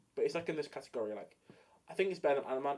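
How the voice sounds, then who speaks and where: The speaker has an English accent. The tone is animated. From England. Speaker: streamer. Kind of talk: casual chat.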